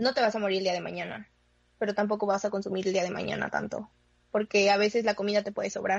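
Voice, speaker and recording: A woman talks at a very fast pace and medium pitch, with vocal fry. Her intonation stays flat and monotone. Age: 20s. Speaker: guest who works with children. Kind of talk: casual chat.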